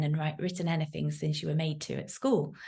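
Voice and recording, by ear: A woman speaks at a moderate pace. Her tone is slightly mellow.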